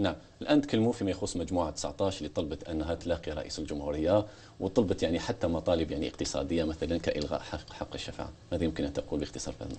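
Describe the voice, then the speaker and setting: Very deep and low, a man's voice moves at a very fast pace with ordinary pitch variation. Light background noise can be heard. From Algeria. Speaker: TV host. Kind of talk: TV interview. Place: studio.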